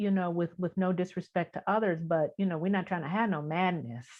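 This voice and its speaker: A woman talks with an American accent at medium pitch. Hers is an unremarkable speaking voice with ordinary pitch variation. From Detroit, US Midwest. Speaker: spiritual teacher and author. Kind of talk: interview.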